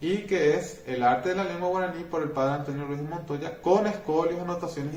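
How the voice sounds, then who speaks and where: Room echo is audible around this man's voice. His pitch varies in an ordinary way. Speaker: teacher. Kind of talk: lecture. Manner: halting.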